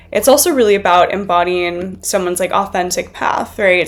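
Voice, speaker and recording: Noticeable background noise accompanies a woman speaking at a moderate pace and medium pitch. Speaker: astrologer. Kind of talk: educational video lecture.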